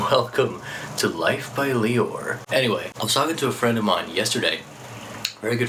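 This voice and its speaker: Noticeable background noise and audible room echo surrounding a man's voice. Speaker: vlogger. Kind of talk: vlog monologue.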